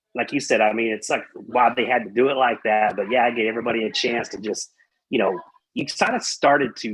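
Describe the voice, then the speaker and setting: With a slight Texas accent, a man at medium pitch talks at a very fast pace with fairly even intonation. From Texas, Amarillo. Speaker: metal podcast guest. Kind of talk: casual chat. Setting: live-streamed podcast.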